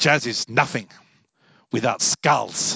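A man speaks in a put-on character voice. It sounds raspy.

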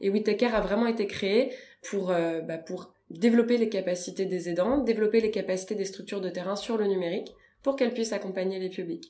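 A woman's medium-pitched voice at a fairly quick pace, with ordinary pitch variation and audible room echo. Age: 30s. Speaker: deputy director of a digital inclusion nonprofit. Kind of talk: interview. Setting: nonprofit's offices.

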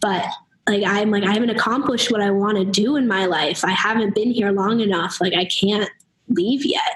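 Here is a woman with a normal speaking voice and medium pitch. She talks at a moderate pace with fairly even intonation. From US Northeast (New Hampshire). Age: young. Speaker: college student. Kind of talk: interview. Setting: remote call from dorm lounge.

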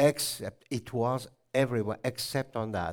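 A man with an ordinary speaking voice talks at a medium pitch and a moderate pace on a very clean recording with a silent background. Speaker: botanist and natural dyer. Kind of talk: lecture. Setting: stage with audience.

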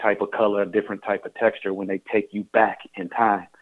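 Fairly quick, flat, monotone delivery in an American accent. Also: man. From Washington D.C. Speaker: filmmaker. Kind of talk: interview. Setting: phone call.

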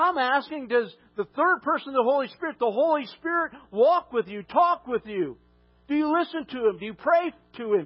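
A loud man talks at an extremely high pitch with lively intonation. His pace is moderate. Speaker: pastor. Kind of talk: sermon. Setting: church.

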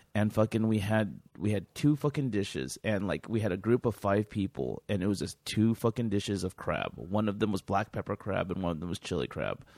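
On a very clean recording with a silent background, a man talks at a fairly quick pace and fairly low pitch with ordinary pitch variation and vocal fry, the sound dry and close with no echo. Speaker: podcast host. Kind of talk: casual chat. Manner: rambling, filler-heavy.

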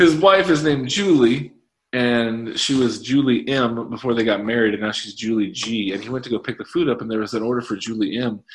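This man has a normal speaking voice at a medium pitch with ordinary pitch variation. He talks at a fairly quick pace. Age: 40s. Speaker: podcast co-host. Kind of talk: casual chat.

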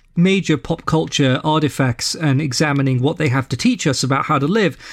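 In a very clean recording with a silent background, a man with a London accent talks at a moderate pace in a fairly high pitch with ordinary pitch variation. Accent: southern English (London). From London, England. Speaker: podcast host and ethical society leader. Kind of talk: casual interview chat.

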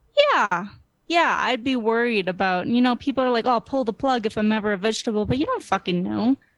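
A woman talks at a fairly quick pace in an unremarkable speaking voice, pitched fairly high with ordinary pitch variation. The sound is dry and close, with no echo. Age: 20s. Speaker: guest panelist. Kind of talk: casual chat.

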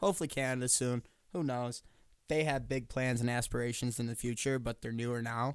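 A man with an American accent and a plain, everyday voice talks at a fairly quick pace and medium pitch on a very clean recording with a silent background. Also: fairly even intonation. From western New York. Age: 20s. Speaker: podcast co-host. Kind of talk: casual chat. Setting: studio.

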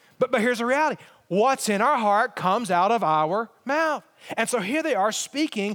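A man with an Alabama accent, extremely high pitch, lively intonation and a moderate pace, on a very clean recording with a silent background. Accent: Southern US (Alabama). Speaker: pastor. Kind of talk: sermon.

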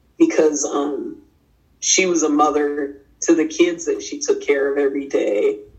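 Talking fairly slowly, a woman is heard with an audible echo from the room. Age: 50s. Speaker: artist. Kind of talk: interview. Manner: halting.

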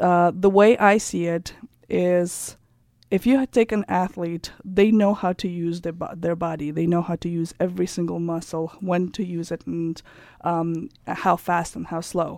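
A woman's dark, mellow voice with a Russian accent, fairly low in pitch, with fairly even intonation at a fairly slow pace, on a very clean recording with a silent background. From Kazakhstan. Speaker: entrepreneur and personal coach. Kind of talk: interview. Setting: studio.

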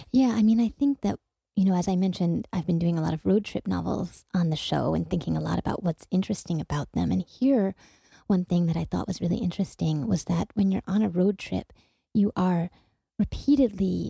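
Recorded with a dry, close sound and no echo, a woman talks at a fairly quick pace. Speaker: radio host. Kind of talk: interview and book discussion. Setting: community radio studio.

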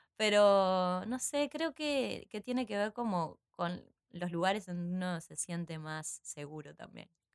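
Speaking at a fairly slow pace, a woman with a medium pitch uses lively intonation and big swings in loudness, in a dry, close sound with no echo. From Uruguay, San José. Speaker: actress and theatre teacher. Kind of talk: casual interview. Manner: halting, many repetitions.

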